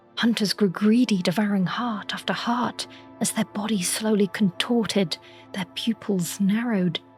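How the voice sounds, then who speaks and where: Music plays behind a woman who speaks fairly slowly at a medium pitch. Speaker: lore narrator. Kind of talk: sleep story. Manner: soft-spoken, slow.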